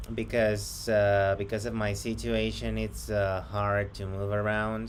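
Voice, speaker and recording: A man talks at a fairly slow pace in a space with audible room echo. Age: 30s. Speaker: job applicant. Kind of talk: job interview. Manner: hesitant.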